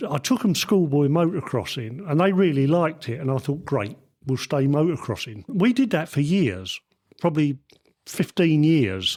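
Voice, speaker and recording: Over a very clean recording with a silent background, a man with a fairly high pitch talks at a moderate pace, his voice making very wide pitch swings. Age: 70s. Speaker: retired motorcycle engineer. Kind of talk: interview. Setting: on location at a test track.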